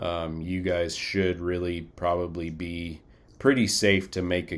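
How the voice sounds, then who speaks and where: A man's very deep, low voice in a monotone, flat intonation on a very clean recording with a silent background. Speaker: flight crew training instructor. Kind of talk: recorded lecture. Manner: casual, many fillers.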